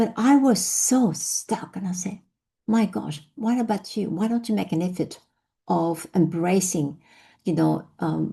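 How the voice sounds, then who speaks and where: Speaking at a fairly slow pace with a French accent, a woman has a medium pitch, ordinary pitch variation, a dark, mellow tone and vocal fry, over a quiet background. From France, Vietnamese family. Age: 50s. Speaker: business founder and speaker. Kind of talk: personal storytelling talk.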